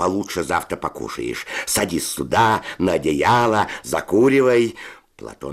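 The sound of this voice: Reading in an unforced voice.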